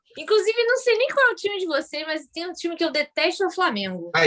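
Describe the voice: A woman talks very fast with lively intonation. Her pitch is extremely high.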